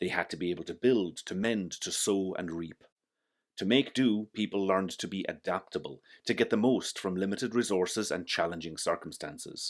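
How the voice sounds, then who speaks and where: With a West of Ireland accent, a man of fairly low pitch speaks at a moderate pace with ordinary pitch variation, on a very clean recording with a silent background. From West Clare, Ireland. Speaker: architect. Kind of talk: personal reflective narration to camera.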